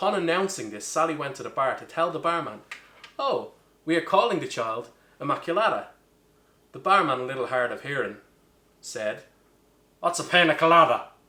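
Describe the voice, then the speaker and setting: A fairly quick, lively voice with an Irish accent, big swings in loudness, and long, frequent pauses. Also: man, high pitch for a man. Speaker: bartender. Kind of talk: comedic cocktail tutorial to camera.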